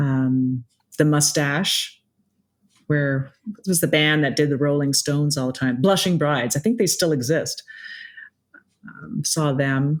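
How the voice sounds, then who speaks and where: At a fairly slow pace with long, frequent pauses, a woman talks in a very deep, low pitch. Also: ordinary pitch variation. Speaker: singer-songwriter. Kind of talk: casual interview. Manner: halting, repeats words.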